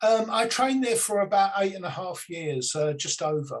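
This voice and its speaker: A man is speaking here. His words come with a British accent. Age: 60s. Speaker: psychic medium. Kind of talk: interview. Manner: halting, many fillers.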